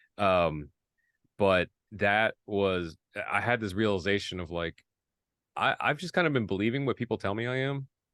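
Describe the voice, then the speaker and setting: Against a quiet background with dry, close sound and no echo, a man speaks at a moderate pace and fairly low pitch, using lively intonation and long, frequent pauses. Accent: American. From Indiana, US Midwest. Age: 40s. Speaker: songwriter and content creator. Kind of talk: casual interview chat. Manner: halting, many fillers and restarts.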